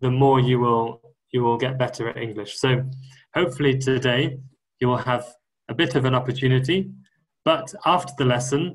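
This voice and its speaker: This man has a medium-pitched, somewhat breathy voice with a Welsh accent. His intonation stays fairly even. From Wales. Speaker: guest English teacher. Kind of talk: online lesson for school pupils. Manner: slow, clear, simple wording for learners.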